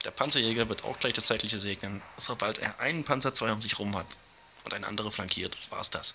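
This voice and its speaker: The speaker moves at a fairly quick pace with ordinary pitch variation. Noticeable background noise sits behind the voice. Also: man, medium pitch for a man. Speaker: gaming YouTuber. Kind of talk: gameplay commentary. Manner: casual, with fillers.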